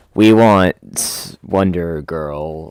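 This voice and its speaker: A very deep, low pitch comes from this man. He is doing a put-on character voice. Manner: menacing, threatening.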